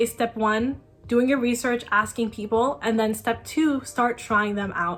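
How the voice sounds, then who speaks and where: Amid noticeable background noise, a woman speaks with a fairly high pitch and ordinary pitch variation. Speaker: college student vlogger. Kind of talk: casual talking-head tutorial. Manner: fast.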